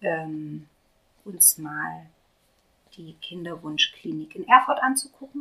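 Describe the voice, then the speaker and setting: A woman speaks at a very slow pace. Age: 30s. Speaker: patient sharing fertility treatment experience. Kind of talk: casual group conversation, personal testimony.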